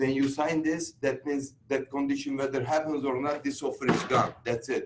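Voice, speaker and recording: A man speaks at a moderate pace with a Turkish accent. Noticeable background noise runs behind him. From Turkey. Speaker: real estate instructor. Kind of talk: lecture.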